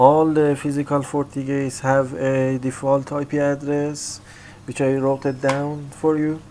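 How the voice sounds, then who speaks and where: A man's voice, fairly high in pitch, with a dark, mellow tone and a monotone, flat delivery. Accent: non-native. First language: not English. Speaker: IT tutorial creator. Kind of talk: tutorial. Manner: halting, many fillers.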